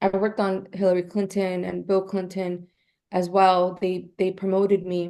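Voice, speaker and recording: A woman's medium-pitched voice with a dark, mellow tone against a quiet background. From New York City, Queens. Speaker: publicist. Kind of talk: interview. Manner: hesitant, with fillers.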